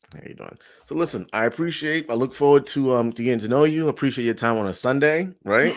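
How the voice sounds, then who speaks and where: A man with a New York accent at medium pitch and a very fast pace, with big swings in loudness, on a very clean recording with a silent background. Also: ordinary pitch variation. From New York City, Brooklyn. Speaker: interviewer. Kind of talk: interview.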